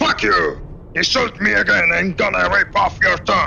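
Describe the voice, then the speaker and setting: A man shouts in a put-on character voice at a moderate pace. Clear background noise is audible. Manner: angry, shouting, crude.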